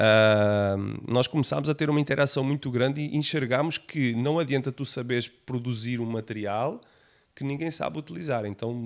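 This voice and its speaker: A man with a Portuguese accent speaks at medium pitch and a moderate pace, with ordinary pitch variation, on a very clean recording with a silent background. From Portugal. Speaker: technology company founder. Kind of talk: podcast interview.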